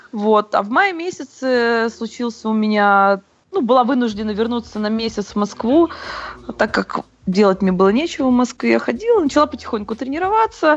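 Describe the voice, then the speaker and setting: With a plain, everyday voice, a woman speaks at a moderate pace and fairly high pitch, her intonation lively. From Moscow, Russia. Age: 20s. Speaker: CrossFit athlete and coach. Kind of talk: interview.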